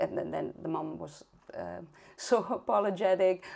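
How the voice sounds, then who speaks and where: A woman with a Spanish accent speaks in a dark, mellow tone against a quiet background. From Spain (Catalonia). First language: Spanish or Catalan. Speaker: early intervention specialist and parent. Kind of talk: interview conversation. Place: home room. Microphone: video call.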